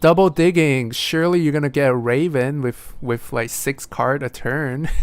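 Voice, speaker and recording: The pace of the speech is moderate. A non-native accent can be heard. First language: not English. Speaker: board game stream host and commentator. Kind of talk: live game commentary.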